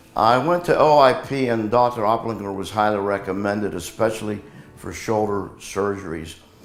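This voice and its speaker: There is audible room echo around a man's fairly low voice. He talks at a moderate pace with ordinary pitch variation. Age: 70s. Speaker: patient. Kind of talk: testimony.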